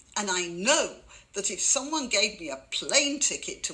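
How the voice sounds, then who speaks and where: A woman's voice at a fairly slow pace, with very wide pitch swings and noticeable background noise. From Britain. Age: old. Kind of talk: commentary to camera. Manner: tongue in cheek.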